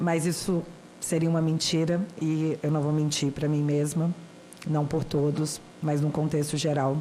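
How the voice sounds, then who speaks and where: Her voice very deep and low, a woman speaks fairly slowly in a dark, mellow tone with monotone, flat intonation. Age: 30s. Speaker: citizen speaker at a senate hearing. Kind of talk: formal public testimony.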